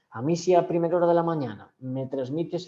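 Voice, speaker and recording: A man's fairly high-pitched voice with a dark, mellow tone and ordinary pitch variation. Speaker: communication skills trainer. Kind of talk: online training session. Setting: video call from home. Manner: fast.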